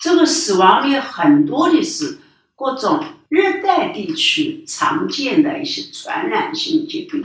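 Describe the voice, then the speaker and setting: The delivery comes at a very slow pace with lively intonation. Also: woman, extremely high pitch for a woman. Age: 80s+. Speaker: forestry scientist. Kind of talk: personal testimony. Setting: home study. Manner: halting, many fillers.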